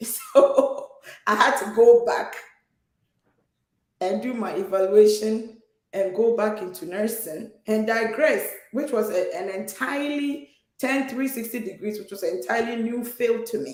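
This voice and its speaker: A woman's fairly high voice with a Ghanaian accent, fairly slow, with ordinary pitch variation, big swings in loudness and audible room echo. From Ghana, Takoradi, western Ghana. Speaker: nurse, immigrant guest. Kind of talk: personal testimony in conversation.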